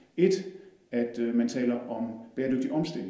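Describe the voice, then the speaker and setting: Ordinary pitch variation amid noticeable background noise and audible room echo. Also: man. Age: 40s. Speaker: politician. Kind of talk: personal introduction. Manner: halting, many fillers.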